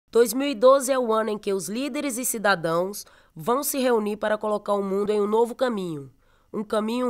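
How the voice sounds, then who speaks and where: In a very clean recording with a silent background, a woman with a plain, everyday voice talks at a fairly quick pace and fairly high pitch, with ordinary pitch variation. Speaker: professional footballer. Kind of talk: public service campaign narration.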